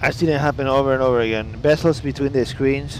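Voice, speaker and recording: Over noticeable background noise, a man talks at a very fast pace, his medium pitch showing ordinary variation. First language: Italian. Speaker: flight sim streamer. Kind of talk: casual live stream chat. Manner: animated.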